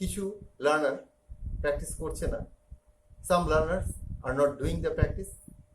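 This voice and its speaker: A man's voice with audible room echo and long, frequent pauses. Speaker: English teacher. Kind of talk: lecture. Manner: slow.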